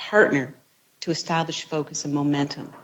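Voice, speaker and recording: A woman is speaking. Her voice is soft-spoken. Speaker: university research leader. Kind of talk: presentation speech. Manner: halting.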